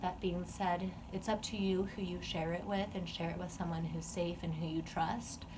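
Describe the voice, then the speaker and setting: In a room with audible echo and noticeable background noise, a woman speaks at a fairly low pitch with fairly even intonation. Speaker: vlogger sharing eating disorder recovery. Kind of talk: personal vlog monologue. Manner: casual with fillers.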